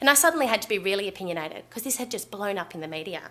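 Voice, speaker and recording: A woman with an Australian accent, at a very fast pace, medium in pitch with lively intonation and a bright, sharp tone, on a very clean recording with a silent background. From Western Australia. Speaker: doctor. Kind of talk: conference talk.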